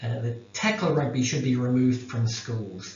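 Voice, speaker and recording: In a New Zealand accent, a man of medium pitch speaks at a moderate pace amid audible room echo and noticeable background noise. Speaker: academic researcher. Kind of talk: lecture. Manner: halting.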